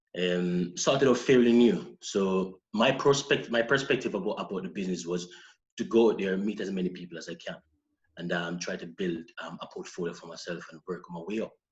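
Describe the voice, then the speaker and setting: Very deep and low in pitch, a man with a Jamaican accent speaks at a fairly quick pace with ordinary pitch variation and big swings in loudness. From Jamaica, Saint Ann parish. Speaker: personal trainer and model. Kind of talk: podcast interview. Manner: hesitant, with fillers.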